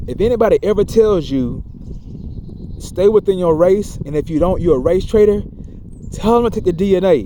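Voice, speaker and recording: A man with a high pitch and ordinary pitch variation talks at a fairly quick pace but with long, frequent pauses, amid noticeable background noise. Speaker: video blogger. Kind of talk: casual monologue vlog. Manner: fast; stammering, repeats words.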